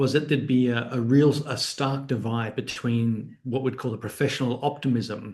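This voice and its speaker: A man with an Australian accent speaks at medium pitch and a fairly quick pace, his intonation fairly even and his voice somewhat breathy. Room echo is audible. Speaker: academic author. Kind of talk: book talk lecture. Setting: online video event. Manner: conversational with frequent fillers.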